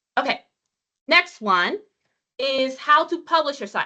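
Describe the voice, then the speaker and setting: A woman speaks in a raised, projected voice with a bright, sharp tone, very wide pitch swings and a moderate pace. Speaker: web content trainer. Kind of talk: training webinar demonstration. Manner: casual, halting with repeats.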